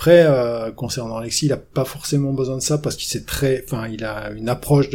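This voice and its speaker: With ordinary pitch variation, an unremarkable speaking voice keeps a moderate pace. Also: man. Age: 50s. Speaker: ski coach and mental trainer. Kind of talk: interview.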